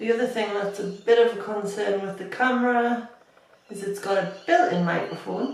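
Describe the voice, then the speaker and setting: A woman at medium pitch talks at a moderate pace, her loudness swinging widely. Noticeable background noise and audible room echo surround her. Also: ordinary pitch variation. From northeast England. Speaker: beauty youtuber. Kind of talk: makeup tutorial. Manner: casual, chatty. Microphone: built-in camera microphone, not great.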